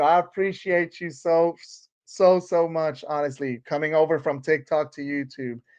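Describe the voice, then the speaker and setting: Over a quiet background, a man with a Puerto Rican accent speaks at a fairly slow pace. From Puerto Rico. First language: Spanish. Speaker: TV show podcaster. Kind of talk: live stream chat. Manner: casual, halting with fillers.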